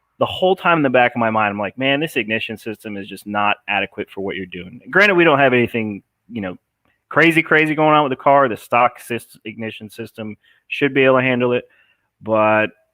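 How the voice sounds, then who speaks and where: In an American accent, a man talks at a fairly quick pace with lively intonation and big swings in loudness. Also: medium pitch for a man. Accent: New Jersey, fading. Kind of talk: live stream Q&A. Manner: casual, filler-heavy.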